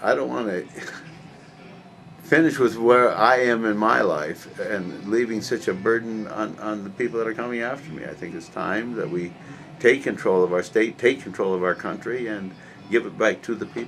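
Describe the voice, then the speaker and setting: Over music in the background, a man with an American accent talks at a moderate pace in a medium pitch. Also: ordinary pitch variation, big swings in loudness. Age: 60s. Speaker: political candidate. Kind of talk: interview. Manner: halting.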